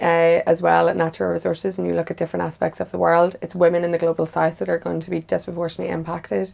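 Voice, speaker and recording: A woman talks at a very fast pace. She has a Northern Irish accent. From Northern Ireland, near the border. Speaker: women's policy advocate. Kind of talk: panel discussion.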